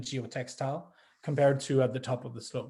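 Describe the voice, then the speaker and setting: This man has a Quebec French accent and a dark, mellow tone that is somewhat breathy. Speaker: grape grower. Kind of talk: panel presentation. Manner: halting, many fillers and restarts.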